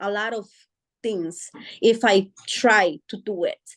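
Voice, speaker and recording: A woman with a Spanish accent speaks at a fairly high pitch, her voice captured dry and close with no echo. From Guatemala. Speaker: author and parent support advocate. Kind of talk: interview. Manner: hesitant, many fillers.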